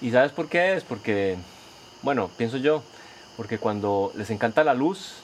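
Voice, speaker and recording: Lively intonation marks a man's medium-pitched speech. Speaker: podcast host. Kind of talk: casual podcast narration.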